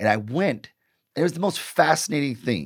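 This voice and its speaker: In a very clean recording with a silent background, a man with an American accent speaks at a moderate pace in an animated tone, with vocal fry and very wide pitch swings. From US Midwest, Detroit. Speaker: marketing professor and author. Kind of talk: casual interview.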